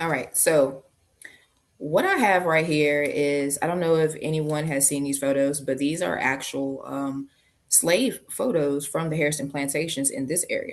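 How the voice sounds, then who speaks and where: A woman with a very deep, low voice, moderate in pace and fairly even in intonation. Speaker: genealogy researcher and presenter. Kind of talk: presentation on a video call. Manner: casual.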